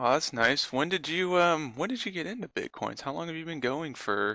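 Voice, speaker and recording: Vocal fry runs through a man's fairly high voice, which has a bright, sharp tone. He speaks with an American accent and lively intonation. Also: moderate pace, very clean recording, silent background. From Florida, US. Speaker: podcast host. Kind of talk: casual chat.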